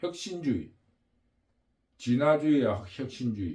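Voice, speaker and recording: A somewhat breathy man speaks at a very slow pace. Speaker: political commentary channel host. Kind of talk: political monologue. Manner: halting, with fillers.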